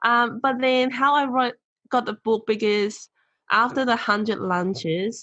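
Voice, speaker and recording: A woman with a non-native accent goes at a moderate pace, her sound dry and close with no echo. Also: quiet background. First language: not English. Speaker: motivational speaker and author. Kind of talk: podcast interview.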